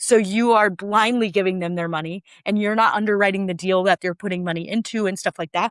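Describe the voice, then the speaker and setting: A woman with a Minnesotan accent talks at a fairly quick clip and a medium pitch, her ordinary pitch variation captured in a very clean, dry, close recording with a silent background and no echo. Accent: Minnesota. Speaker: short-term rental entrepreneur. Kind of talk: podcast interview.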